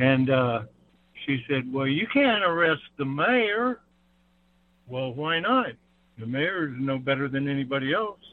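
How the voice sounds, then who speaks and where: The speech moves at a fairly slow pace with long, frequent pauses. Its intonation is lively. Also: man, fairly high pitch for a man. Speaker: caller. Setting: phone call.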